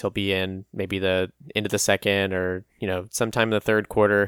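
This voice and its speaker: The sound is dry and close with no echo, in a very clean recording with a silent background. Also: man. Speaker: podcast co-host. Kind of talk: casual chat.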